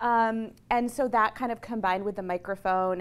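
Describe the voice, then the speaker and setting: A woman's speech moves at a fairly quick pace with ordinary variation in pitch. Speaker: psychology professor. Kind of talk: lecture. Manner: fast.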